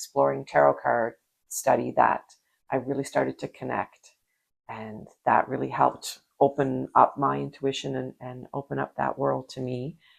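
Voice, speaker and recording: The voice has vocal fry and moves at a moderate pace. Its loudness swings widely. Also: woman. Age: 60s. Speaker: podcast co-host. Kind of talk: casual chat. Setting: video podcast.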